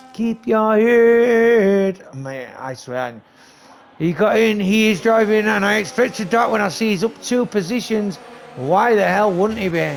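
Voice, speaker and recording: Over noticeable background noise, a man speaks at a fairly slow pace. His voice is high-pitched, with lively intonation. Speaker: esports league race commentator and streamer. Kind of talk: live commentary. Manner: animated.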